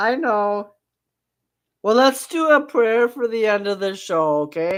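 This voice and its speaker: An unremarkable speaking voice moves at a fairly slow pace with lively intonation on a very clean recording with a silent background. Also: woman, fairly high pitch for a woman. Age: 60s. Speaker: radio show host. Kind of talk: casual chat.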